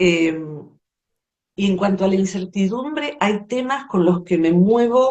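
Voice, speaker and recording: Speaking at a very slow pace, a woman with a medium-pitched voice uses lively intonation and keeps her loudness very even. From Argentina, Buenos Aires area. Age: 60s. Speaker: psychologist and poet. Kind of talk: interview conversation.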